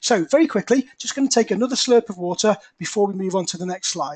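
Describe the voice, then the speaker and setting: Lively in intonation and fairly quick, this voice with an English accent comes through in a dry, close sound with no echo. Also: man. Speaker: property investor. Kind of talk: webinar presentation. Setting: webinar. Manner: quiet.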